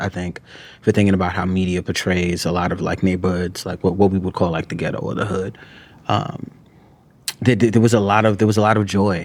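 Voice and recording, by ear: At a fairly quick pace, a man speaks in a low pitch with little pitch movement.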